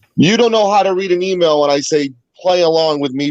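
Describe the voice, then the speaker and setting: Talking at a fairly quick pace with a Boston accent, a man swings his pitch very widely, the sound dry and close with no echo. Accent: sounds like Boston. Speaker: guest panelist, fellow show host. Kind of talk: casual chat.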